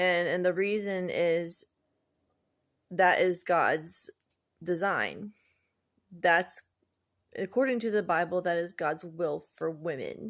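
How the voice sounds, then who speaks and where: A woman speaks at a very slow pace with long, frequent pauses, her fairly low pitch held to fairly even intonation. The recording is very clean with a silent background. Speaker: vlogger. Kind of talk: personal vlog monologue. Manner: halting, pauses between words.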